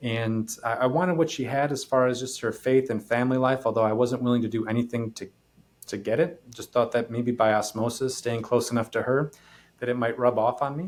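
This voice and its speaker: This man talks at a fairly quick clip with an American accent and a medium pitch. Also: fairly even intonation. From US Midwest, northeast Wisconsin. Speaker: podcast host. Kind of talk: personal testimony. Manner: halting.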